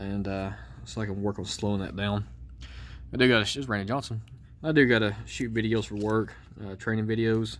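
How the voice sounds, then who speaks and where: Here a man with a strong Georgia accent and fairly low pitch talks at a fairly quick pace, his intonation fairly even and his speech broken by long, frequent pauses. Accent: thick Georgia Southern. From Georgia, US South. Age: adult. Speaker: card collector YouTuber. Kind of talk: casual card-break commentary. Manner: fast.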